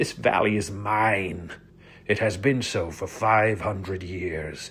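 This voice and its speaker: Growling in a put-on character voice, a man speaks at a fairly slow pace. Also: fairly low pitch for a man. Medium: read story. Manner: archaic, imperious.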